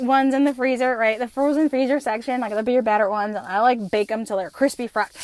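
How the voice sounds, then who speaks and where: With an American accent, a woman talks at a fairly quick pace in a high pitch and an animated tone. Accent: slight New Jersey accent at times. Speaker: podcast host. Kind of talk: casual monologue. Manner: fast.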